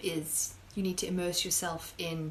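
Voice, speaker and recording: Against noticeable background noise, a woman speaks at a fairly slow pace with a medium pitch and ordinary pitch variation. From South Africa. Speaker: high school biology teacher. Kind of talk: casual live-stream Q&A. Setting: live stream. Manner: chatty, conversational.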